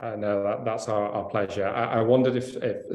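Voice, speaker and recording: Speaking fairly quickly, a man delivers his lines. He has a British accent. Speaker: environmental network representative. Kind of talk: panel discussion. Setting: video call. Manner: hesitant, many fillers.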